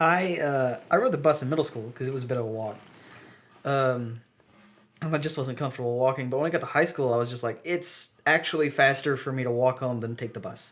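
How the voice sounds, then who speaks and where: His pace is fairly quick, with ordinary pitch variation. The man's voice sits at a medium pitch. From US South. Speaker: podcast co-host. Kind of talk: casual chat.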